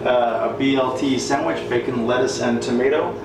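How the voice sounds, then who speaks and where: A man at a fairly quick pace, with audible room echo and noticeable background noise. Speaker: home cook vlogger. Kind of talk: casual cooking tutorial. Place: kitchen. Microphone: camera far.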